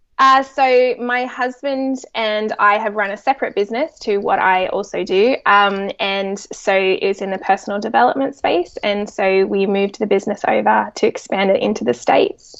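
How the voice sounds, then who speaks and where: A woman with an Australian accent talks at a medium pitch and a moderate pace. Her pitch varies in an ordinary way, and she hardly pauses. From Australia, Sydney. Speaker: psychologist and children's author. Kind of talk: podcast interview.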